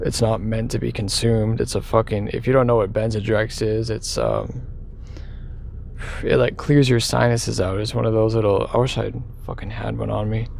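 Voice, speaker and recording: Heard with audible room echo, a man talks at a moderate pace. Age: 20s. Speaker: vlogger. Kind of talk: personal confession. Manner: halting; casual.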